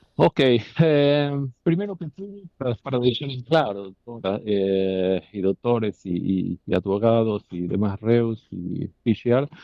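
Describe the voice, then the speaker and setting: The intonation is lively. The pace is fairly slow. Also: man. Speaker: company director testifying as defendant. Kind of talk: court testimony. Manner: halting.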